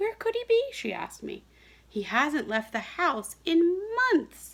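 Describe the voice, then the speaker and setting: A woman uses a put-on character voice, squeaky and at an extremely high pitch. She speaks at a fairly slow pace with very wide pitch swings. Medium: read story.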